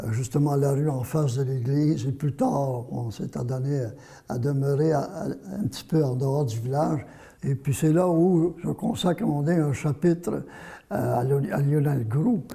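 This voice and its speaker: A man's fairly high, somewhat breathy voice in a dark, mellow tone, with ordinary pitch variation and a fairly slow pace. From Quebec, Vaudreuil. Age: 80s+. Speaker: journalist and author. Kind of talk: interview. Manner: halting, repeats words.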